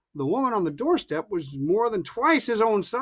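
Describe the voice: The recording consists of plain reading aloud.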